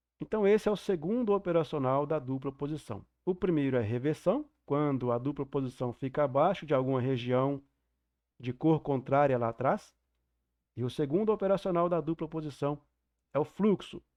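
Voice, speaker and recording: A man's fairly high voice with lively intonation. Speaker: trading mentor teacher. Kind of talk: online class lecture. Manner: deliberately slow.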